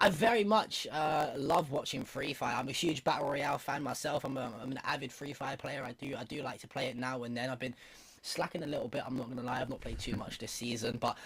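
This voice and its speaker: Very fast and somewhat breathy, a man with a British accent speaks at a medium pitch with ordinary pitch variation. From UK. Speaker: streamer and esports commentator. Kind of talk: casual interview on esports broadcast.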